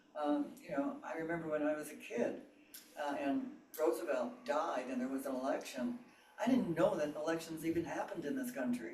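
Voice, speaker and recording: With audible room echo and noticeable background noise, a man talks at a fairly quick pace, his fairly high voice swinging very widely in pitch. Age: 90s. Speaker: meditation group participant. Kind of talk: group discussion sharing. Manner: halting.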